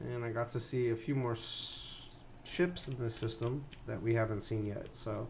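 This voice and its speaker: Audible room echo surrounds a man speaking at a moderate pace. His medium-pitched voice is somewhat breathy, with fairly even intonation. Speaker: video game streamer and modder. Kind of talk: live stream game commentary. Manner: halting, stumbling with fillers.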